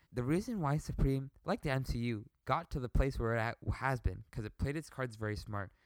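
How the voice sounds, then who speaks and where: In a plain, everyday voice, a man speaks at medium pitch and a fairly quick pace with ordinary pitch variation, the sound dry and close with no echo on a very clean recording with a silent background. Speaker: podcast co-host. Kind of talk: casual banter chat. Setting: basement recording with video.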